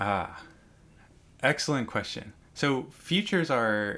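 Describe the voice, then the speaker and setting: Bright and sharp in tone, a man's voice moves through very wide pitch swings. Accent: American. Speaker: university lecturer. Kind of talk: lecture. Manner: casual, many fillers.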